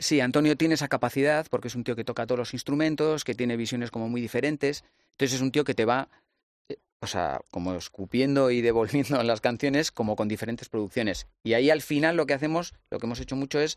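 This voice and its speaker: The words come out at a very fast pace, and the sound is dry and close with no echo. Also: man, medium pitch for a man, ordinary pitch variation, quiet background. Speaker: musician. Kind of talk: casual chat.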